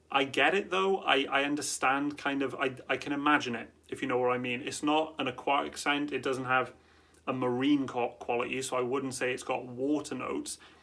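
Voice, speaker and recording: A man with a Welsh accent speaks in a fairly high, bright, sharp voice. His intonation is fairly even and his pace fairly quick. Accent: Welsh, drops T's. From Wales. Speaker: fragrance reviewer. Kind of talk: product review. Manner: casual, conversational.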